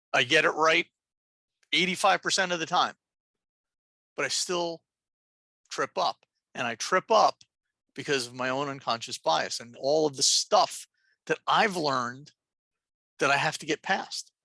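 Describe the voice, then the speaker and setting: A woman with a New Jersey accent, very deep and low in pitch, bright, sharp and animated in tone, with ordinary pitch variation, a moderate pace and long, frequent pauses. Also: big swings in loudness, dry, close sound with no echo. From New Jersey, Jersey City. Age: old. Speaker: nurse and transgender health educator. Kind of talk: lecture. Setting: video call.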